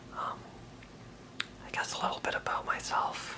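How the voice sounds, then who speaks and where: Noticeable background noise runs throughout. Through it, a man whispers. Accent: American. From Maine. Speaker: aspiring stand-up comedian. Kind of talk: ASMR casual talk to camera. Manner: hesitant.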